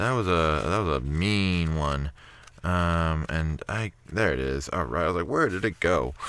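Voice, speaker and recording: A man speaks at a fairly slow pace with very deep, low pitch and ordinary pitch variation. His loudness stays very even in a very clean recording with a silent background. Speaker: YouTuber reading scary stories. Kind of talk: casual chat. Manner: animated.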